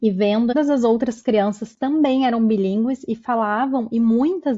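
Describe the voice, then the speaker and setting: Speaking at a fairly slow pace, a woman with a somewhat breathy, fairly high voice uses ordinary pitch variation. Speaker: podcast host. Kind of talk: podcast interview.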